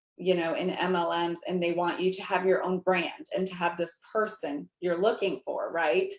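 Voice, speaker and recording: The speaker is a woman with a normal speaking voice. She talks at a medium pitch and a moderate pace. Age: 40s. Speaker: network marketing ambassador. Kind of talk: panel discussion.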